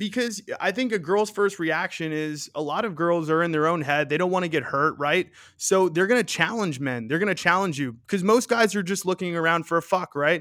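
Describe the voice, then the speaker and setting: With an American accent, a man speaks at a high pitch and a fairly quick pace in a bright, sharp tone with ordinary pitch variation, in a very clean recording with a silent background. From New York City (Queens). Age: 20s. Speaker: podcaster and content creator. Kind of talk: casual chat.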